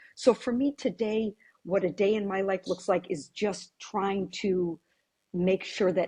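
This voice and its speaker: In an American accent, a woman's somewhat breathy voice has a dark, mellow tone, recorded dry and close with no echo. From US Virgin Islands (St. Croix), family from Syracuse, New York. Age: 60s. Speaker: real estate agent. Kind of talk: podcast interview.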